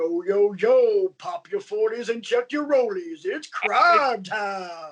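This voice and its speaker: In a put-on character voice, a man talks at an extremely high pitch with very wide pitch swings, at a fairly slow pace with hardly any pauses. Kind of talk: hyped announcer delivery.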